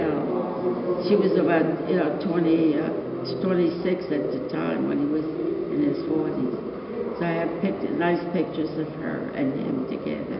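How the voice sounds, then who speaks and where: A woman is heard here. Loud background noise and audible room echo surround her voice. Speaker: photographer. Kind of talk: interview answer. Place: home room. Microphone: camera far.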